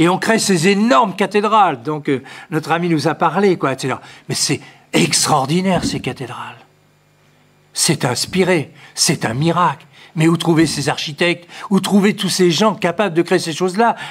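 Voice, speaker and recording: Recorded very cleanly against a silent background, a man with a high pitch speaks at a moderate pace with ordinary pitch variation and long, frequent pauses. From France, Poitiers. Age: 70s. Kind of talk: lecture. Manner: halting, with frequent repetitions and fillers.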